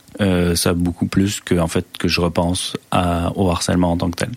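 A man with a very deep, low voice talks at a fairly slow pace amid noticeable background noise. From France, moved to Quebec as a child. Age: 30s. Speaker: doctoral student. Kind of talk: interview testimony. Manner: halting.

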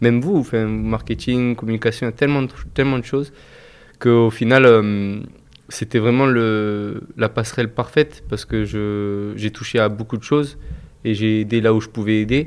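A man speaks at a moderate pace with long, frequent pauses. His medium-pitched voice keeps a fairly even intonation. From Toulouse, France. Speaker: football team manager. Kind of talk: interview. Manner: halting.

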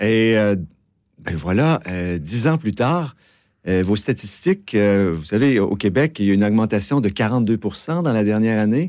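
In a very clean recording with a silent background, a man with a Quebec accent speaks at a fairly low pitch with lively intonation. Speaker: advocacy group director. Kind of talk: radio interview. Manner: hesitant, many fillers.

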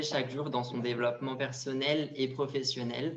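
At a moderate pace and with monotone, flat intonation, a man speaks in a fairly high voice amid audible room echo and noticeable background noise. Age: 20s. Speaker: fashion model and university student. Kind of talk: interview.

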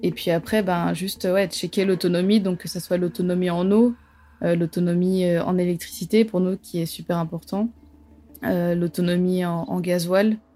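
A woman's fairly low, dark, mellow voice with fairly even intonation at a moderate pace, in a very clean recording with a silent background. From southern France. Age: 20s. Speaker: travel reporter. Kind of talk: interview testimony. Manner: halting, many repetitions and fillers.

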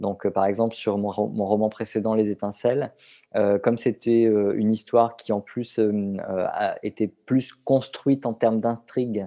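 Over a quiet background, a man with a medium pitch and a dark, mellow tone speaks at a fairly slow pace in a monotone, flat intonation. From southern France. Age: 40s. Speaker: novelist. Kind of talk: interview. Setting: remote call.

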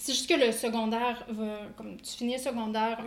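With audible room echo and noticeable background noise, a woman speaks at a moderate pace in a fairly high pitch, monotone and flat. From Quebec. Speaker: dietitian. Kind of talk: casual interview.

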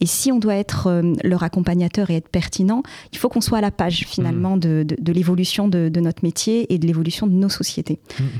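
A woman at a fairly low pitch, fairly quick pace and ordinary pitch variation, with noticeable background noise. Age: 30s. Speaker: trainee chartered accountant and entrepreneur. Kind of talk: podcast interview.

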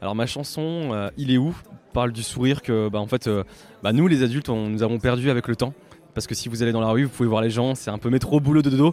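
Speaking very fast, a man holds a medium pitch and shows ordinary pitch variation. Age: 30s. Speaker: singer-songwriter and dentist. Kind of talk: interview.

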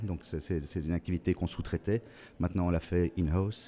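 On a very clean recording with a silent background, a man speaks at a moderate pace. His voice is very deep and low, with a dark, mellow tone. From Belgium. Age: 50s. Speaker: digital printing business owner. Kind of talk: interview. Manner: halting.

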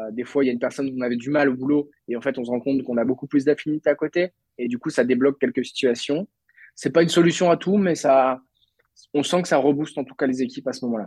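Delivered at a very fast pace, the speech has fairly even intonation and a dry, close sound with no echo. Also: man. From Brittany, France (Lannion). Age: 20s. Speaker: entrepreneur. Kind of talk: interview.

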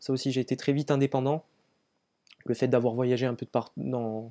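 Against a quiet background, a man with a dark, mellow tone talks at a moderate pace, keeping a medium pitch and fairly even intonation. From Corsica. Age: 20s. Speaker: long-distance runner and trail runner. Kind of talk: interview. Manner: halting, many hesitations.

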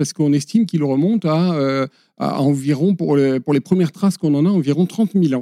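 A man with a slight Pyrenean accent speaks at a fairly quick pace in a fairly high voice. His tone is dark and mellow, and the sound is dry and close with no echo. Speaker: conservation association director. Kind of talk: podcast interview. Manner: hesitant, with many fillers and repetitions.

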